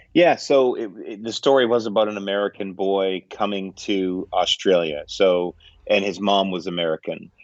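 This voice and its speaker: A man with a plain, everyday voice speaks with a Canadian accent at a moderate pace, his fairly low pitch showing ordinary pitch variation. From Canada. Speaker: film director and producer. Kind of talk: interview answer. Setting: video call.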